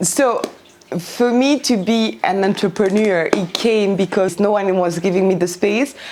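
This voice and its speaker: The speaker talks at a fairly slow pace with ordinary pitch variation over noticeable background noise. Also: woman. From Belgium, Brussels. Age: 30s. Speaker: midwife. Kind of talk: interview. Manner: halting, many fillers.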